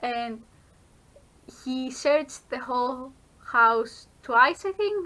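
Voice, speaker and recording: In a raised, projected voice with a non-native accent, a woman speaks at a very slow pace, her high pitch bright and sharp in tone and her intonation lively. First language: not English. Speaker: vlogger, university student. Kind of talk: casual vlog chat. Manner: halting with self-corrections.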